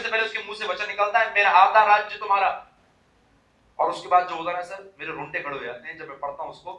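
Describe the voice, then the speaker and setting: Amid audible room echo, a man speaks in a raised, projected voice with high pitch and an animated tone. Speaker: motivational speaker. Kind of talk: motivational speech. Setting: stage with audience.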